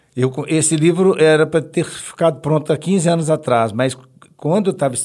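A man talks at a moderate pace in a dark, mellow tone with ordinary pitch variation. The recording is very clean, with a silent background. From Brazil, Belo Horizonte (Minas Gerais). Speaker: blind comedian and radio humorist. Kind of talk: casual interview chat.

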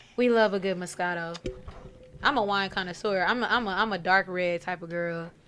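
A woman speaks at a fairly quick pace with a plain, everyday voice. Her medium pitch carries fairly even intonation. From Pasadena, California, then Dallas area, Texas. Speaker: musician. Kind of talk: casual chat.

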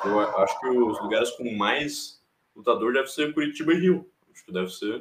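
At a moderate pace, a man with a fairly high pitch speaks with lively intonation, vocal fry and big swings in loudness. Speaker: MMA youtuber and commentator. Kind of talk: casual chat. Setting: live stream.

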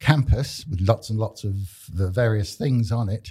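A man with a Cumbrian accent, medium pitch and a dark, mellow, somewhat breathy tone, in a very clean recording with a silent background. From northern England. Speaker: community radio co-host. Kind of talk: casual chat. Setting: studio.

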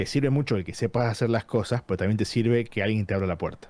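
In a Tucumán accent, a man talks fairly quickly in a dark, mellow tone with ordinary pitch variation. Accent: Argentine Spanish (Tucumán). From Argentina, Tucumán. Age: 30s. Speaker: gaming industry professional. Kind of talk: casual interview chat. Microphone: good microphone setup.

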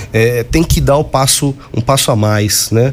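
Noticeable background noise accompanies a man at medium pitch. He talks at a moderate pace with ordinary pitch variation. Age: 40s. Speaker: radio host and university professor. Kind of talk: radio talk show. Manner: halting, frequent repetitions and fillers.

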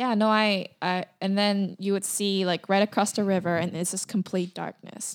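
A woman at a moderate pace, monotone and flat, with hardly any pauses, in a very clean recording over a silent background. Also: medium pitch for a woman. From Busan, South Korea. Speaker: guest. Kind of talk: casual interview chat.

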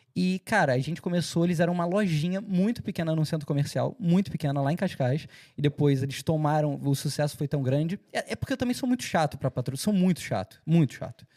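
Recorded very cleanly against a silent background, with a dry, close sound and no echo, a man with a Carioca accent speaks fairly quickly at a fairly high pitch, with ordinary pitch variation and a dark, mellow tone. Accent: Carioca Brazilian Portuguese, kept. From Rio de Janeiro, Brazil. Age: 30s. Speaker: entertainment media founder and presenter. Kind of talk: casual interview chat.

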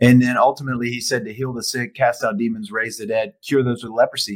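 Speaking at a fairly quick pace with lively intonation, a man uses a plain, everyday voice at medium pitch. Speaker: podcast host. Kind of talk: interview, friendly conversation. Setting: studio.

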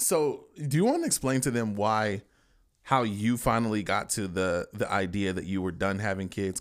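This man has an unremarkable speaking voice, medium in pitch, with lively intonation at a moderate pace. The recording is very clean, with a silent background. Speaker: podcast host. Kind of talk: casual chat. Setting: home recording.

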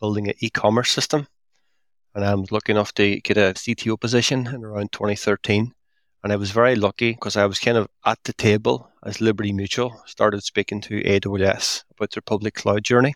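Recorded very cleanly against a silent background, with a dry, close sound and no echo, a man with a fairly low pitch speaks at a fairly quick pace with fairly even intonation. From Northern Ireland (Derry). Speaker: software architect and author. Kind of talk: interview conversation.

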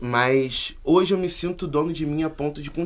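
A man with a plain, everyday voice speaks at a fairly high pitch with ordinary pitch variation. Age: 20s. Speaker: university student and activist. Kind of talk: casual chat.

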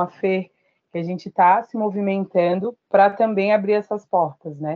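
Here is a woman with an unremarkable speaking voice at medium pitch. She talks at a fairly slow pace with fairly even intonation. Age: 30s. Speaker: human resources analyst and activist. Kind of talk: podcast interview.

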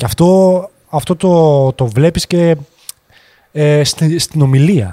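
A man with a fairly high voice and a dark, mellow tone speaks very slowly, with long, frequent pauses and ordinary pitch variation. His loudness stays very even, and the sound is dry and close with no echo. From France (Grenoble) until 12, then Thessaloniki. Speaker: 3D artist. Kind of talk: casual chat.

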